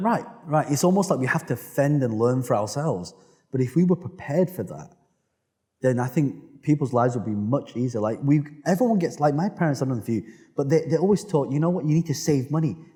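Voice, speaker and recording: With a British accent, a man talks at a very fast pace in a dark, mellow tone, his pitch swinging very widely. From United Kingdom. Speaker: entrepreneur. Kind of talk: interview answer.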